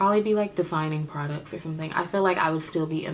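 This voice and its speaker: A woman's very deep, low voice with an American accent at a very fast pace, over light background noise. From Oakland, California. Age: 20s. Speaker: beauty vlogger, makeup artist. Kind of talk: casual Q&A vlog. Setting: home video recording. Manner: chatty, informal. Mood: relaxed, candid, humorous.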